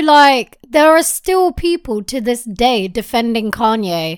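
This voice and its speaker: In a British accent, a woman speaks at a very slow pace with very wide pitch swings. The recording is very clean, with a silent background. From England. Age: 20s. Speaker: podcast co-host. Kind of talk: casual chat. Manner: animated.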